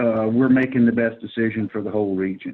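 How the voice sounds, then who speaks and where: A man speaks with an American accent. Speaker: flood risk presenter. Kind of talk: presentation.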